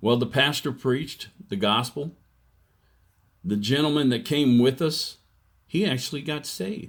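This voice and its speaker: A man talks fairly slowly, his pitch rising and falling by ordinary amounts. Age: 60s. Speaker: evangelist vlogger. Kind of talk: testimony. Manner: halting.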